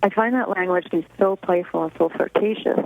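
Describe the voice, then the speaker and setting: A fairly quick woman's voice at medium pitch, with fairly even intonation and noticeable background noise. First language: Russian. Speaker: author. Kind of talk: radio interview. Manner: halting.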